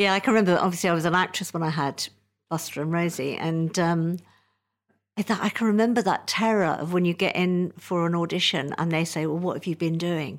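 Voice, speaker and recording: A woman with a British accent talks at a fairly quick pace and a fairly low pitch. The recording is very clean, with a silent background. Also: fairly even intonation. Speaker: podcast host and comedy writer. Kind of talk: casual interview with scripted intro. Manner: playful, jokey.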